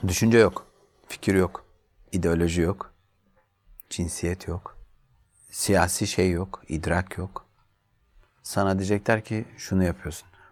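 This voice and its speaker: This man's voice is very deep and low, with fairly even intonation. He speaks at a very slow pace, with long, frequent pauses. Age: 40s. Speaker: journalist. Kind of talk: interview.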